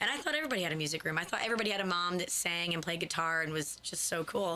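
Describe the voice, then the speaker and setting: With an American accent, a woman talks at a very fast pace and a fairly low pitch. There is noticeable background noise. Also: ordinary pitch variation, very even loudness. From upstate New York. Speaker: singer-songwriter. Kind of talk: radio interview. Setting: radio studio.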